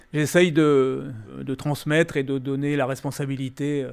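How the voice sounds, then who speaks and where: A man's fairly high voice carries along at a moderate pace. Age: 60s. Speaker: winemaker. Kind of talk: interview. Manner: hesitant, many fillers.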